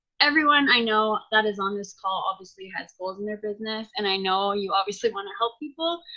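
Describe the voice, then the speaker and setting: An ordinary speaking voice from a woman, fairly high in pitch, fairly quick in pace, with ordinary pitch variation. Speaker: fitness coach team leader. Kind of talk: team video call presentation. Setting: video call with screen share. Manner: many filler ums.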